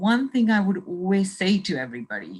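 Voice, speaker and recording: A woman at a medium pitch sounds somewhat breathy, with ordinary pitch variation. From UK, moved from Punjab, India at seven. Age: 60s. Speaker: motivational speaker and coach. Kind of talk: interview.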